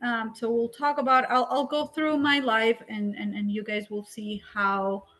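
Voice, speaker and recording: Speaking with a Spanish accent, a woman talks at a fairly high pitch and a fairly slow pace. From Colombia. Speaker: drone education business founder. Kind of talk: career talk presentation.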